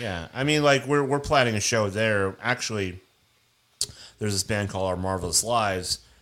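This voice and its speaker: In an unremarkable speaking voice with an American accent, the speaker moves at a fairly quick pace with ordinary pitch variation. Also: man. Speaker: band member. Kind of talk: casual chat.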